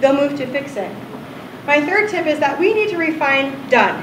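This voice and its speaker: A woman with a high pitch speaks loudly and with lively intonation, amid noticeable background noise and audible room echo. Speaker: UX designer giving conference talk. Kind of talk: ignite talk. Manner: fast.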